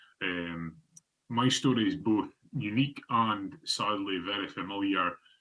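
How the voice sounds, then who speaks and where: A man talks in a northeast Scottish accent at a fairly low pitch. His tone is bright and sharp. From northeast Scotland (Fraserburgh). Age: 30s. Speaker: obesity advocate. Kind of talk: presentation. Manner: halting, many fillers.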